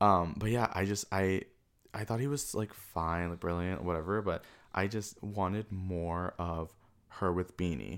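A man's very deep, low voice with an American accent, at a fairly slow pace with ordinary pitch variation, on a very clean recording with a silent background. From Queens, New York City. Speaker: film fan. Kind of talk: casual chat.

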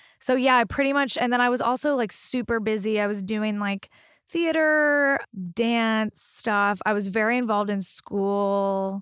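A woman with an American accent speaks at a fairly slow pace in a fairly high pitch with ordinary pitch variation, on a very clean recording with a silent background. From Arkansas, US. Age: 20s. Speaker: stand-up comedian. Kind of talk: casual interview chat.

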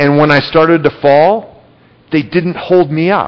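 This man speaks very slowly, his fairly high voice keeping a fairly even intonation. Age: 30s. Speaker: pastor. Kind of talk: sermon. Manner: halting.

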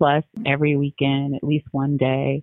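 Very deep, low pitch from a woman with an American accent. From New Jersey. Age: 40s. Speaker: family law attorney. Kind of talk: interview conversation.

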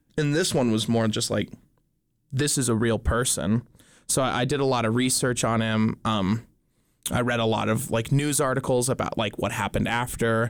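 A man with an American accent talks at a moderate pace in a normal speaking voice, medium in pitch, with fairly even intonation and very even loudness. The recording is very clean, with a silent background. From Montana. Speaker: stage actor. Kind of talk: casual chat.

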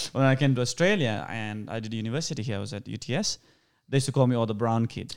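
Speaking with a Sri Lankan accent, a man talks very fast at a medium pitch with ordinary pitch variation. The recording is very clean, the background silent. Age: 30s. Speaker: actor. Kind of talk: casual interview chat.

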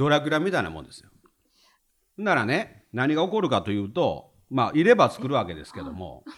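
A man talks in a Kansai accent at a fairly quick pace. His loudness swings widely. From Hyogo, Himeji (Kansai). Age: 50s. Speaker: retired civil servant. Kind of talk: casual chat.

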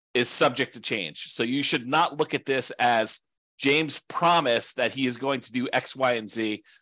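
A man's medium-pitched voice with a bright, sharp tone and ordinary pitch variation at a moderate pace, dry and close with no echo over a quiet background. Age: 40s. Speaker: podcast host and real estate investing teacher. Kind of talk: solo presentation. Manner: casual with frequent fillers.

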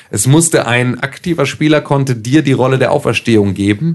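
A man speaks with ordinary pitch variation in an unremarkable speaking voice. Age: 20s. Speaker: podcast host. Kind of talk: casual chat.

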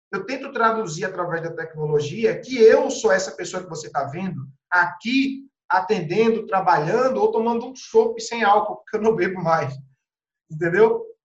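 Audible room echo surrounds a man who speaks at a high pitch with lively intonation and big swings in loudness. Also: moderate pace. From Pernambuco, Brazil (Carpina, Recife). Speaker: real estate agent. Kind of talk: podcast interview. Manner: animated.

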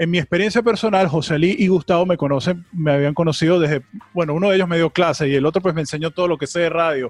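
A man speaks at a very fast pace with a high pitch and ordinary pitch variation. His loudness is very even, and the sound is dry and close with no echo. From Venezuela. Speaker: podcast host. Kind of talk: casual chat.

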